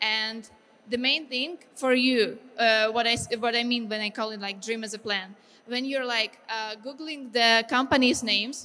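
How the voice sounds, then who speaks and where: With a Ukrainian accent, the voice has a bright, sharp tone and fairly even intonation. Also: woman, fairly high pitch for a woman, moderate pace. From Ukraine. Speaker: game artist. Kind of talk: lecture. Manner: halting.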